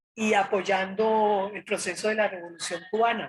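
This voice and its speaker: Her voice is fairly high and somewhat breathy, and this woman talks at a fairly slow pace with fairly even intonation. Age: 70s. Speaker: retired social worker, former student leader. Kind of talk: interview.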